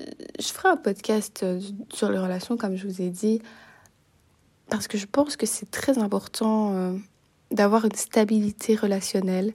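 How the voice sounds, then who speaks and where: A woman speaks at a fairly slow pace, somewhat breathy and with fairly even intonation, leaving long, frequent pauses. The recording is very clean, with a silent background. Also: medium pitch for a woman. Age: 20s. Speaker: student podcaster. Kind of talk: casual monologue. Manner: hesitant, many fillers.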